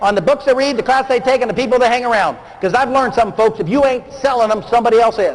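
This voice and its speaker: Against noticeable background noise, a man speaks very fast in an extremely high voice, with ordinary pitch variation and very even loudness. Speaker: motivational speaker. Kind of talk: seminar talk. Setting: stage with audience. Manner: animated.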